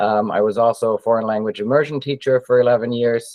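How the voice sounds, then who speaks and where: The speaker is a man. He has a German accent. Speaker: education technology director. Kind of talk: webinar presentation.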